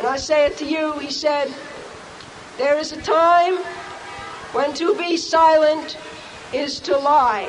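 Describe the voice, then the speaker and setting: A woman speaks at a very slow pace with a high pitch. Her speech has long, frequent pauses. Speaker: activist and indicted protester's mother. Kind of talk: rally speech. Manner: defiant, impassioned.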